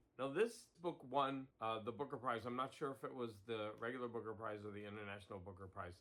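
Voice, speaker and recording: A man at a medium pitch with ordinary pitch variation, talking at a fairly quick pace with hardly any pauses. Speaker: puzzle hobbyist video host. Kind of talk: casual vlog narration. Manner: halting, frequent fillers and repeats.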